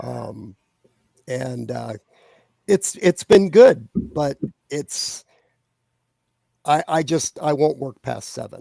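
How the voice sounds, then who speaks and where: Delivered at a very slow pace, a man's speech has long, frequent pauses and big swings in loudness, recorded with a dry, close sound and no echo. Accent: American. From US Midwest, Ohio. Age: 60s. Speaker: fantasy author. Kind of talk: interview. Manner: halting, many fillers and repetitions.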